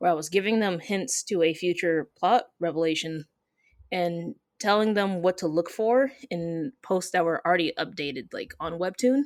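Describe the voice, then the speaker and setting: A woman with an American accent uses an ordinary speaking voice, fairly low in pitch with ordinary pitch variation, at a moderate pace, in a dry, close sound with no echo. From Michigan. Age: 20s. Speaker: comic artist. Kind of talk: interview.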